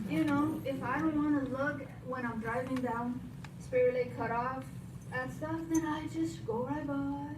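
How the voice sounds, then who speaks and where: Through noticeable background noise and audible room echo, a woman speaks fairly slowly at a fairly high pitch with very wide swings. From Romania. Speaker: local resident giving public testimony. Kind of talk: public comment at a county meeting. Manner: unprepared, halting with fillers.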